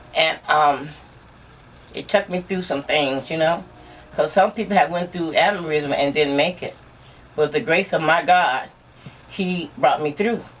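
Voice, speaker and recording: The speech moves at a fairly slow pace with long, frequent pauses and ordinary pitch variation, over noticeable background noise. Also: woman, fairly low pitch for a woman. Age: 60s. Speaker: aneurysm survivor. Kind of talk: casual interview.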